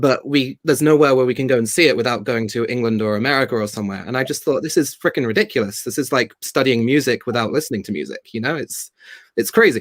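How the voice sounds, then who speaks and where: The pace is very fast, with lively intonation. The speaker talks with a British accent. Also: man. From Spain. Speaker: theatre company founder and actor. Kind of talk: interview.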